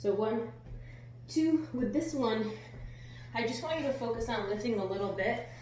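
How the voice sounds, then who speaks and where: Over noticeable background noise and audible room echo, a woman talks at a moderate pace with a fairly high pitch, ordinary pitch variation, and long, frequent pauses. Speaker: fitness coach. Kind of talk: workout tutorial. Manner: quiet, near whisper.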